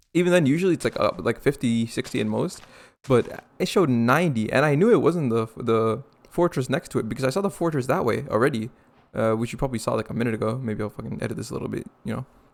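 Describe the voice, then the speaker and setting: On a very clean recording with a silent background, a man of medium pitch speaks very fast with lively intonation and vocal fry. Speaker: gaming commentator. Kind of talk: video game commentary. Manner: stuttering.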